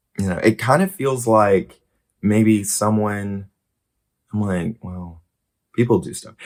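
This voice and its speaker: In a very clean recording with a silent background, a man speaks very slowly at a fairly low pitch with ordinary pitch variation, big swings in loudness, and long, frequent pauses. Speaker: YouTuber. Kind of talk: casual vlog monologue.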